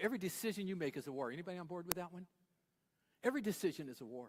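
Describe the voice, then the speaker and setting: A man speaks very fast in a playful tone, his pitch high. His voice makes very wide pitch swings. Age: 70s. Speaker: pastor. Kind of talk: sermon. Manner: conversational, playful.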